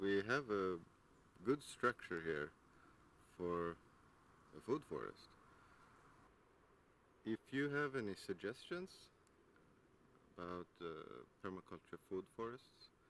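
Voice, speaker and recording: A man at a fairly low pitch and fairly slow pace, with long, frequent pauses, light background noise and a dry sound with no echo. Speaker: garden vlogger. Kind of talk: casual vlog chat. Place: garden. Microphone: phone near.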